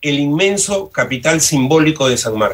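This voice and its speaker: A bright, sharp tone from a man, fairly high in pitch. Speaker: sociology professor and university rector candidate. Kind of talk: radio interview.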